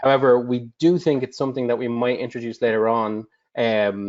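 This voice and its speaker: A man with an Irish accent speaks at a moderate pace and medium pitch. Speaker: customer support director. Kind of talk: webinar Q&A.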